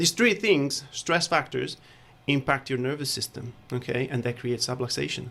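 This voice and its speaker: A man with an Italian accent speaks at a medium pitch and moderate pace, with ordinary pitch variation, a bright, sharp tone and vocal fry. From Italy. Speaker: chiropractor. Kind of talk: radio interview. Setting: studio.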